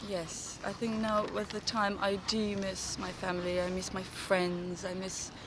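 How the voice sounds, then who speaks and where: A woman with a Kosovar accent speaks at a fairly slow pace and medium pitch, monotone and flat, with hardly any pauses. Audible room echo and noticeable background noise come through. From Kosovo. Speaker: actress. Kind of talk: casual interview. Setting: outdoors in a park. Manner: halting, many false starts.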